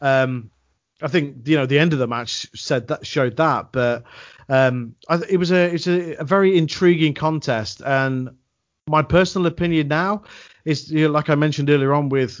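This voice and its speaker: A man with an unremarkable speaking voice, at a moderate pace with ordinary pitch variation. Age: 30s. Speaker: wrestling commentator. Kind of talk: casual chat.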